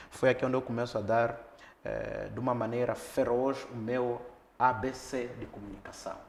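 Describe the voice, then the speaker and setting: This man's voice sits at a medium pitch and keeps a monotone, flat intonation, with audible room echo around it. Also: moderate pace. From Mozambique, Niassa (Lichinga). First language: local Mozambican language (speaking Portuguese). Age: young. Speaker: academic, former radio broadcaster. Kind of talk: interview, life story.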